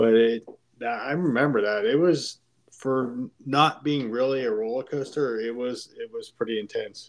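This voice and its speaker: Here is a normal speaking voice from a man with an American accent and a medium pitch. He talks at a fairly slow pace with ordinary pitch variation. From Pittsburgh, Pennsylvania. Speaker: podcast guest, host's friend. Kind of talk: casual chat.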